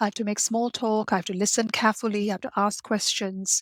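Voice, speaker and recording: A woman at a fairly high pitch, very fast and monotone with flat intonation, on a very clean recording with a silent background and a dry, close sound with no echo. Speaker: life coach for introverts. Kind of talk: interview conversation.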